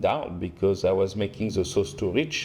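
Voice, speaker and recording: A man is speaking. He has a strong French accent. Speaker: restaurant owner and chef. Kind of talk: casual interview chat. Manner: halting, many fillers and restarts.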